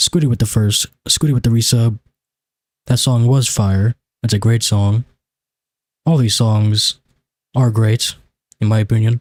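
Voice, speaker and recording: Somewhat breathy and at a moderate pace, the speech has fairly even intonation, very even loudness, long and frequent pauses, and a dry, close sound with no echo. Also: man, medium pitch for a man. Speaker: video game streamer. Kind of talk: live gaming stream chat. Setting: live stream. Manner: casual, rambling with fillers.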